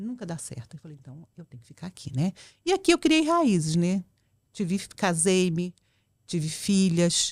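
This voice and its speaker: Her voice fairly low and somewhat breathy, a woman speaks with ordinary pitch variation, big swings in loudness and long, frequent pauses, all in a dry, close sound with no echo. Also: moderate pace, very clean recording, silent background. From central Brazil, Goiânia (born in Porto Velho). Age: 60s. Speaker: public official, women's rights activist. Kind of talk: casual interview chat. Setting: podcast studio. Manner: talkative.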